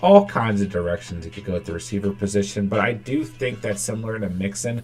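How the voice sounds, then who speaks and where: A fairly quick pace and ordinary pitch variation, with faint music in the background. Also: man. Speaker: fantasy football streamer. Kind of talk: live stream commentary. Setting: live stream hangout. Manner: fast; animated. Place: home room.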